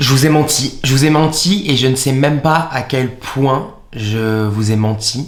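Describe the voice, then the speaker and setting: A man speaks at a very slow pace and a very even loudness, his medium pitch moving with ordinary variation, with audible room echo and noticeable background noise. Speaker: YouTuber. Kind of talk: confessional vlog. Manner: halting, with many repeated words.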